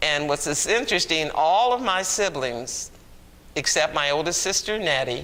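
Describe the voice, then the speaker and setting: A man with an American accent speaks at a fairly high pitch. His tone is bright and sharp, his pace fairly slow. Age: 80s+. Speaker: oral history interviewee. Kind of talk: oral history interview.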